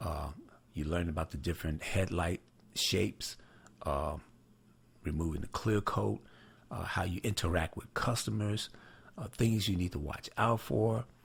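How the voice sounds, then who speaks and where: A man's very deep, low voice with vocal fry, lively intonation, a moderate pace and long, frequent pauses, on a very clean recording with a silent background. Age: 60s. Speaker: headlight restoration trainer, channel owner. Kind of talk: casual announcement to viewers. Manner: hesitant, many fillers (uh, you know).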